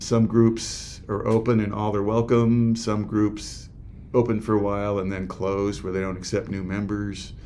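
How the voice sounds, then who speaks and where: This man's voice has a dark, mellow tone and a fairly low pitch. He talks at a fairly slow pace with monotone, flat intonation. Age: 60s. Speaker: men's group facilitator. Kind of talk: interview. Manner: halting.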